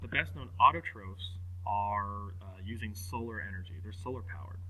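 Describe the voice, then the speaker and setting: A man speaks with a very deep, low pitch and fairly even intonation. There is audible room echo. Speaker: teacher. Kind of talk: recorded lecture. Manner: fast; casual, hesitant with fillers.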